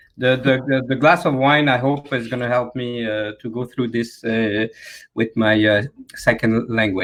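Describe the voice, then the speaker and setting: In a Quebec accent, a man talks at medium pitch and a moderate pace with fairly even intonation. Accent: Québécois French. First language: French. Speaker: job board founder, former business reporter. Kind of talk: panel discussion. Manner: halting.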